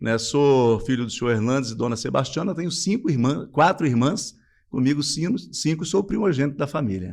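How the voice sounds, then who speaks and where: A man with an unremarkable speaking voice, fairly high in pitch, at a fairly quick pace. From Brazil, Espírito Santo (Cachoeiro de Itapemirim countryside). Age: 50s. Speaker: businessman. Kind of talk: interview.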